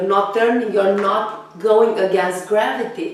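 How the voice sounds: A woman with a raspy voice and a medium pitch speaks at a fairly slow pace. Strong room echo surrounds her words.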